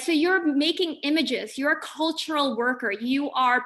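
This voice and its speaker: A woman with an American accent speaks at a fairly slow pace in a bright, sharp tone. Her pitch varies in an ordinary way. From Philippines, then Los Angeles. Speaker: visiting artist and educator. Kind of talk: lecture. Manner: casual, conversational.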